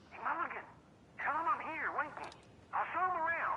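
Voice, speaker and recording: Someone in a put-on character voice speaks at an extremely high pitch and a fairly quick pace over clear background noise. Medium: video game. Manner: loud, blunt.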